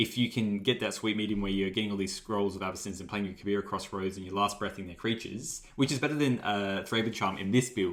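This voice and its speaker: A man's very fast delivery at a fairly low pitch. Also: hardly any pauses. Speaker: card game content creator. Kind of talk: casual gameplay commentary. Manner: animated.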